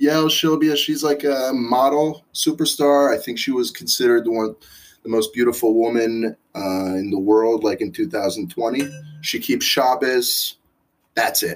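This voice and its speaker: An ordinary speaking voice from a man with an American accent, medium pitch, ordinary pitch variation and a fairly slow pace. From Israel. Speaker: restaurant owner.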